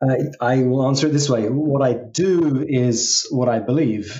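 A man with an English accent speaks at a medium pitch with fairly even intonation. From England, London. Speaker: executive coach. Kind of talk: interview.

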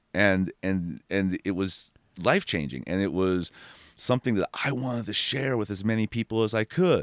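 With an animated tone, a man speaks at a moderate pace. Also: very clean recording, silent background. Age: 40s. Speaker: tree removal business owner. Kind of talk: casual chat. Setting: studio.

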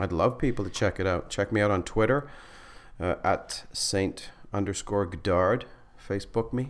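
A man with a Canadian accent has a normal speaking voice, fairly low in pitch, with ordinary pitch variation and very even loudness. He talks at a moderate pace on a very clean recording with a silent background. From northern Manitoba, Canada. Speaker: stand-up comedian and school teacher. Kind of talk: casual chat.

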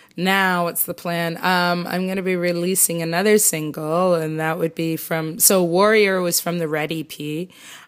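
Moderate pace with a Canadian accent, monotone, flat intonation and hardly any pauses, on a very clean recording with a silent background. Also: woman, fairly low pitch for a woman. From Canada, Toronto. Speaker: singer-songwriter. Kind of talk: interview.

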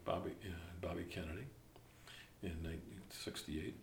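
A man with an American accent speaks in a very deep, low voice that is somewhat breathy. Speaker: retired newspaper journalist. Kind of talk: oral history interview.

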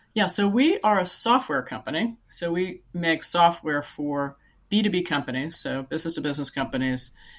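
In a very clean recording with a silent background, a woman with a Californian accent speaks at a moderate pace, her pitch fairly low and her intonation lively. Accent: Californian American English. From California, Silicon Valley. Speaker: software company CEO. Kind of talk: interview.

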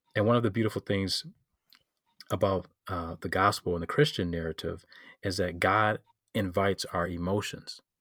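In a Detroit accent, a man with a very deep, low pitch and fairly even intonation talks at a moderate pace with long, frequent pauses, the sound dry and close with no echo. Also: very clean recording, silent background. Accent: Midwestern American (Detroit). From Detroit, Michigan. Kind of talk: casual interview. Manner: hesitant, many fillers.

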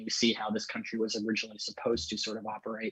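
A man of medium pitch speaks with an American accent. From Maryland, US. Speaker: podcast host, libertarian. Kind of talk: casual chat.

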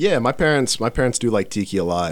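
This man talks at a moderate pace in an unremarkable speaking voice. His intonation is lively. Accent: American. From Dallas, Texas. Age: 20s. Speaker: musician, band founder. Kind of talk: casual chat.

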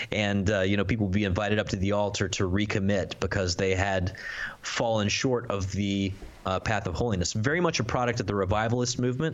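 Very fast speech with fairly even intonation and very even loudness, over noticeable background noise. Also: man, fairly low pitch for a man. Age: 30s. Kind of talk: casual chat.

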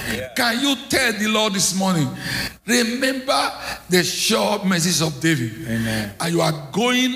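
A man's high voice with very wide pitch swings, at a fairly slow pace amid noticeable background noise. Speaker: visiting preacher. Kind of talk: sermon. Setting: church. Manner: emphatic, call-and-response.

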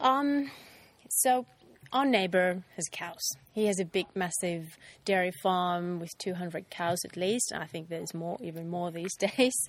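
Speaking with a Finnish accent, a woman has a medium pitch, ordinary pitch variation and big swings in loudness. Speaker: ice cream business owner. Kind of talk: casual interview. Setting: ice cream factory. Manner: halting.

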